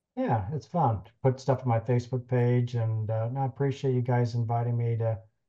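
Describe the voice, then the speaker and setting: Over a quiet background, a man speaks at a moderate pace in a medium pitch, his dark, mellow tone somewhat breathy and flat in intonation. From US West Coast (Sacramento, California). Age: 60s. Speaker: podiatrist, biomechanics expert and lecturer. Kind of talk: interview conversation. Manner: halting with fillers.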